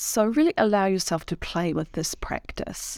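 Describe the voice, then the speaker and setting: A woman's ordinary speaking voice, fairly low in pitch with ordinary pitch variation, on a very clean recording with a silent background. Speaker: meditation guide for small business owners. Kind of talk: guided meditation. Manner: slow, calm and soothing, with long pauses; soft-spoken, gentle.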